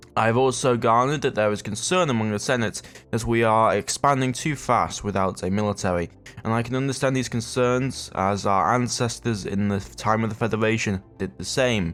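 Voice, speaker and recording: A man with a British accent at a medium pitch, a fairly quick pace and ordinary pitch variation. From Britain. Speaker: gaming YouTuber. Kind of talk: let's play commentary; scripted in-character narration. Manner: fast; halting, many fillers.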